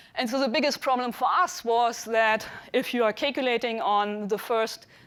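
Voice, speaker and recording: Spoken with a German accent and ordinary pitch variation, the clip is a very clean recording with a silent background. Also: woman. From Germany. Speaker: computational scientist and cosmologist. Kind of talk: lecture. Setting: dinner talk to an audience. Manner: hesitant with frequent fillers.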